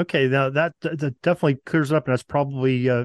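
Very fast speech from a man with an American accent, medium pitch, fairly even intonation, quiet background. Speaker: podcast host. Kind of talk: interview. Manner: hesitant, many fillers.

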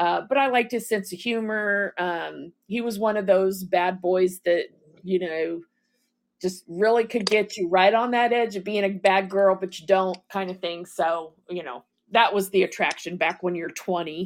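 A woman with an ordinary speaking voice talks at a fairly slow pace and medium pitch. Her intonation is fairly even, though her loudness swings a lot. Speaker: caller, fellow podcaster, veteran. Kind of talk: casual live chat.

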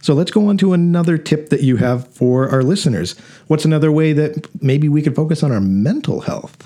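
At a fairly quick pace, a man speaks in an ordinary speaking voice, fairly high-pitched, with ordinary pitch variation and very even loudness. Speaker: podcast host. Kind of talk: casual interview chat. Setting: studio. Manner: conversational, informal.

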